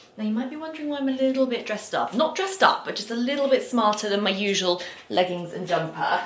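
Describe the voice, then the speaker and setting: In a southern English accent, a woman talks at a very fast pace in a fairly high pitch, with very wide pitch swings and big swings in loudness, amid noticeable background noise and audible room echo. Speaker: lifestyle vlogger. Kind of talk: casual vlog chat.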